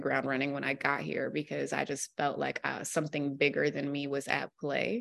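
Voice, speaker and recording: Against a quiet background, a woman with an American accent speaks at a moderate pace in a very deep, low pitch, her bright, sharp tone edged with vocal fry. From US Mid-Atlantic (Virginia, DC area). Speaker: newspaper columnist. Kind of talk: casual interview.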